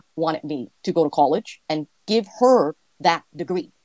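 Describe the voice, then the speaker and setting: A woman speaks with a Vietnamese accent, her pitch fairly low and her intonation lively. The sound is dry and close, with no echo. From California, raised from age five; born in Vietnam. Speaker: entrepreneur, guest interviewee. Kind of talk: interview, casual chat. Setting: online audio space. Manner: halting, many fillers.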